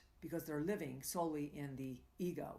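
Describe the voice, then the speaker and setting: A woman with a normal speaking voice, lively intonation, and a moderate pace. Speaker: tantra coach and live show host. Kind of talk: live coaching talk. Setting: live stream broadcast.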